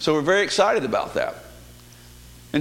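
Amid noticeable background noise and audible room echo, a man speaks with a Southern US accent and ordinary pitch variation. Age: 50s. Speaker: lay preacher. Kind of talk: sermon. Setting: church.

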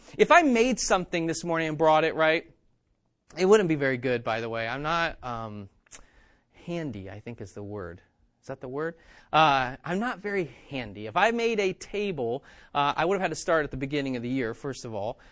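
A man's animated, fairly high-pitched voice at a fairly quick pace, with very wide pitch swings and big swings in loudness. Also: very clean recording, silent background. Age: 30s. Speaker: pastor. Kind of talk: sermon.

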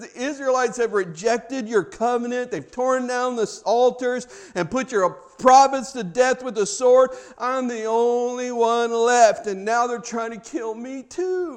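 A put-on character voice, whiny in tone, delivered at a moderate pace. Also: man, extremely high pitch for a man.

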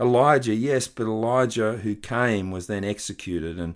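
A fairly low-pitched man speaks with an Australian accent, the recording very clean and the background silent. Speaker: pastor. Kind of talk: sermon.

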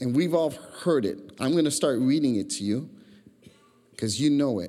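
Dark, mellow tone from a man at fairly high pitch and moderate pace, with audible room echo. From Chicago, Puerto Rican family. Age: 50s. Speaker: pastor. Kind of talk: sermon. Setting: church. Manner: animated.

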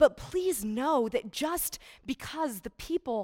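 In a very clean recording with a silent background, a woman with a Midwestern American accent speaks very slowly, her pitch swinging very widely. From US Midwest, Iowa. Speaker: charity speaker. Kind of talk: church talk.

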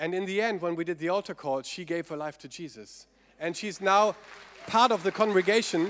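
The speaker has a German accent and a moderate pace. Pitch varies in an ordinary way. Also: man. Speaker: pastor. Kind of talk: sermon. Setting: church.

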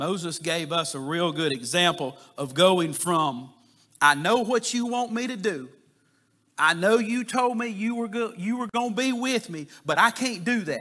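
A man's raised, projected voice with a bright, sharp tone, high pitch and very wide pitch swings, at a fairly slow pace. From US South, south Georgia. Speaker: lay preacher. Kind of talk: sermon. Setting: church. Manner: halting, repeats words.

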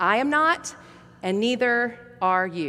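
A woman's bright, sharp voice in an American accent, with very wide pitch swings. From US South. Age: middle-aged. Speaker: pastor. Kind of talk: sermon.

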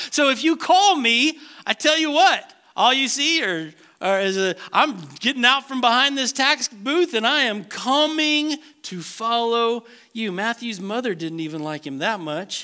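A man speaks in a raised, projected voice at an extremely high pitch, with a bright, sharp tone. His pitch swings very widely, and his pace is fairly slow. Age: 50s. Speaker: pastor. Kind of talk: sermon.

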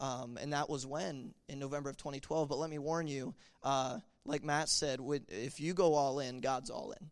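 A man talks in a normal speaking voice, fairly high in pitch, with ordinary pitch variation at a moderate pace. The recording is very clean, with a silent background. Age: 20s. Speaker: youth pastor. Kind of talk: testimony. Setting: church.

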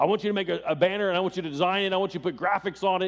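A man puts on a gruff character voice, pitched high for a man. He talks at a very fast pace. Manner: gruff, commanding.

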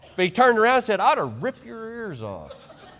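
Raised and projected, a man's voice races at a very fast pace with a high pitch, lively intonation and an American accent. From rural western US, small ranching town. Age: 30s. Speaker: visiting preacher. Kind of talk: sermon. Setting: church.

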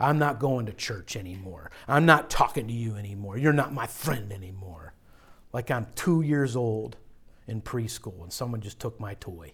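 On a very clean recording with a silent background, a man with an American accent speaks at a moderate pace and medium pitch. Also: lively intonation. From western Pennsylvania, Pittsburgh area. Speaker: pastor. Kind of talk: sermon. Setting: church. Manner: forceful.

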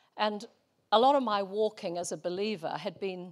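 A woman with a New Zealand accent speaks at medium pitch with ordinary variation. The recording is very clean, with a silent background. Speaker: missionary. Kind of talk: sermon. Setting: church.

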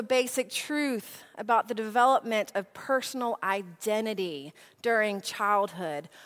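A woman with an American accent speaks at a very slow pace in a bright, sharp tone. The recording is very clean, with a silent background. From US South, Nashville. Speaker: preacher. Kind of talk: sermon.

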